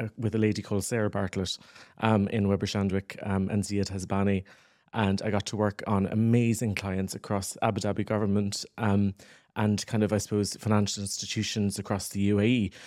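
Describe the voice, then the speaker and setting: In a Cork accent, a man with a fairly low pitch and a dark, mellow tone speaks at a moderate pace in a monotone, flat intonation. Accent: Irish (Cork). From Ireland, West Cork. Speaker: communications agency founder. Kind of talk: interview. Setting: studio.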